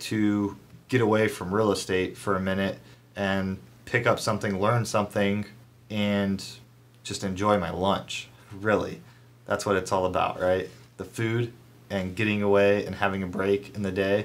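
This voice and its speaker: A man with a fairly low pitch speaks at a moderate pace in a monotone, flat intonation. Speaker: real estate agent vlogger. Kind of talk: casual vlog chat. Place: office. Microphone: phone near.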